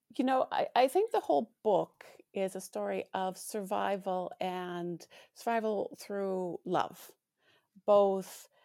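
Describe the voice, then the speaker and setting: A woman's dark, mellow voice with a Canadian accent, medium pitch and ordinary pitch variation, in a dry, close sound with no echo. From Alberta, Canada. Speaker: author. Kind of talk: interview.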